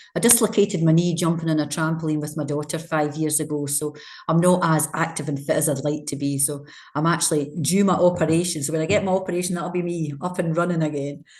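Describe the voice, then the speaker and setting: A woman with a Scottish accent speaks at a very fast pace, her voice somewhat breathy. Her pitch is very deep and low, and her intonation stays fairly even. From Scotland. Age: 60s. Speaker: charity leader. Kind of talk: interview.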